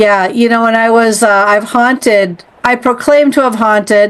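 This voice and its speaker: A woman with an ordinary speaking voice and a fairly high pitch talks at a fairly slow pace. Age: 60s. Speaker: podcast host. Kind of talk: interview conversation.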